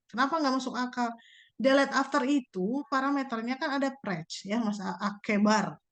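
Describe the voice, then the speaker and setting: A woman's high-pitched voice comes through over a quiet background. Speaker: university lecturer. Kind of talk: lecture. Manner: fast; casual.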